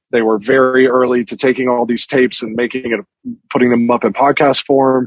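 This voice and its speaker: A man talks at a fairly quick pace. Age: 40s. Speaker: magazine editor. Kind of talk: casual interview. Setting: video call.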